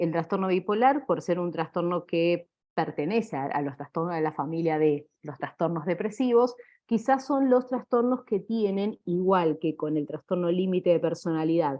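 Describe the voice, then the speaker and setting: A woman speaks in a plain, everyday voice at a moderate pace. Her pitch is fairly low, and her intonation is lively. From Argentina. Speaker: clinical psychologist. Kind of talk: lecture.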